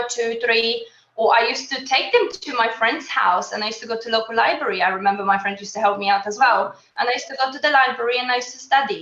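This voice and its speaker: A woman talks with a Polish accent at a fairly high pitch. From Poland. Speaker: qualified accountant and mother. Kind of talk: interview.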